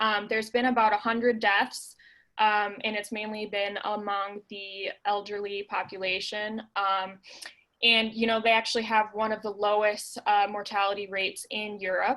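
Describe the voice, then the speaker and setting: Speaking at a moderate pace, a woman has a bright, sharp tone, medium pitch and monotone, flat intonation. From Minnesota, US Midwest. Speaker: local travel expert. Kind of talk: informational presentation.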